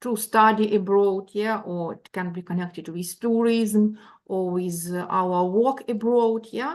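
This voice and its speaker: Speech from a woman moves very slowly, with ordinary pitch variation. The background is quiet. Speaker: university lecturer. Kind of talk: lecture. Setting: video call. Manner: hesitant, many fillers.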